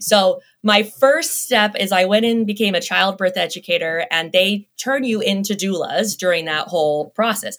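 A woman with an American accent talks at a moderate pace in an ordinary speaking voice, her medium pitch carried by lively intonation. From US, Las Vegas. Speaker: lactation consultant. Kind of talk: interview.

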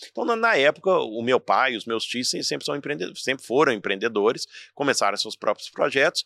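Recorded very cleanly against a silent background, a man talks at a medium pitch and a fairly quick pace. His tone is bright and sharp, and his intonation lively. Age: 40s. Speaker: entrepreneur and motivational speaker. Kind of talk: casual interview chat. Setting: in person at his institute.

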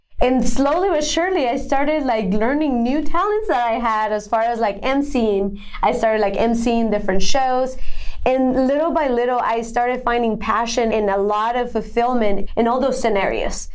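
With audible room echo and noticeable background noise, the speaker talks with a Spanish accent. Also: woman, high pitch for a woman, ordinary pitch variation, moderate pace. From Colombia (Bogota). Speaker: women's empowerment entrepreneur. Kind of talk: interview. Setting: podcast.

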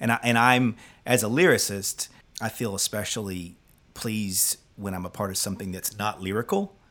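A man speaks in a normal speaking voice, fairly low in pitch, with fairly even intonation at a moderate pace on a very clean recording with a silent background. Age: 50s. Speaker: singer-songwriter and podcast host. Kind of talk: casual chat with reflective narration.

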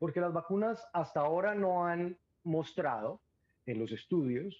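A man uses a plain, everyday voice, pitched fairly high with lively intonation. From Colombia, Cúcuta. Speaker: epidemiologist. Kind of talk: interview.

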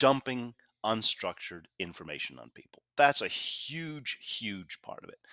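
On a dry, close recording with no echo, a man's voice shows big swings in loudness. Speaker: author and communication consultant. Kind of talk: interview.

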